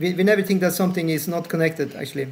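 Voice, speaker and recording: This man's voice sits high in pitch, with fairly even intonation and audible room echo. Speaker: spiritual teacher. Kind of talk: lecture with Q&A discussion. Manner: fast; uneven volume. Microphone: bad Wi-Fi, audio cuts out.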